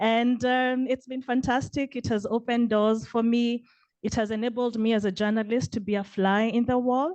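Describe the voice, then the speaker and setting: A woman's fairly high voice with fairly even intonation and a Kenyan accent, against a quiet background. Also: moderate pace. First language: Kenyan vernacular language. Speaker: PhD student, journalist. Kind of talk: audience question at panel.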